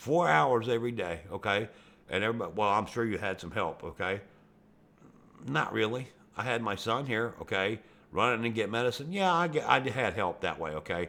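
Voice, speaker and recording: A man speaks at a fairly quick pace with a Western Pennsylvania accent, his pitch medium and his intonation lively. The tone is bright and sharp, and the recording is very clean with a silent background. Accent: Western Pennsylvania American. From Pennsylvania, US. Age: 60s. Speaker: YouTube gamer. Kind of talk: rant over gameplay. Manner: animated.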